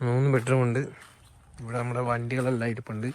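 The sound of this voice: A man's fast, monotone, flat delivery at medium pitch, slightly mellow in tone.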